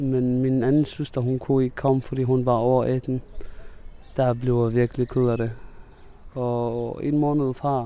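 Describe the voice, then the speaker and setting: Speaking very slowly with long, frequent pauses, a man with an Arabic accent has a dark, mellow tone and flat, monotone intonation. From Syria. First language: Arabic (speaking Danish). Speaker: refugee. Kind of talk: interview. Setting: outdoors. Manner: halting.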